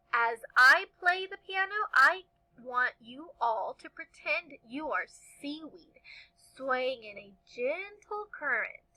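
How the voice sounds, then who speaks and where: A woman puts on a character voice, pitched high. She speaks at a very slow pace. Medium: read story. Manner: warm, patient.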